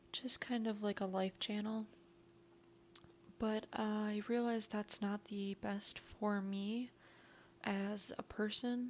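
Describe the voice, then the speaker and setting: A woman speaks at a fairly high pitch, very slowly. Her intonation is monotone and flat, with long, frequent pauses. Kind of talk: ASMR film review. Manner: whispered, soft-spoken.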